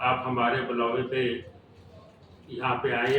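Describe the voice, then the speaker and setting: A man speaks at a medium pitch. Audible room echo and noticeable background noise surround him. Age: 60s. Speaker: cycling federation official. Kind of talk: press conference.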